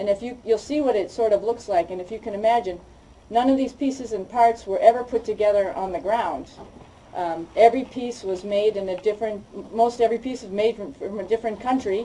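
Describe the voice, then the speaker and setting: With an American accent, a woman speaks at a fairly high pitch with ordinary pitch variation over noticeable background noise. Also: fairly quick pace, big swings in loudness. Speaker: astronaut. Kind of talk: public talk about her experience.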